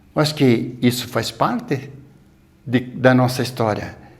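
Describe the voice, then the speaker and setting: A somewhat breathy man at a fairly slow pace. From São Paulo interior, Brazil. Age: 60s. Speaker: elderly local resident sharing memories. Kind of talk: oral history interview.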